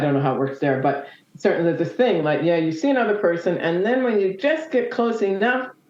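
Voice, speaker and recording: Talking at a very fast pace with a Canadian accent, a woman swings her pitch very widely amid audible room echo. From Nova Scotia, Canada. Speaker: motorcyclist. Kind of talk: interview. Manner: hesitant, many fillers.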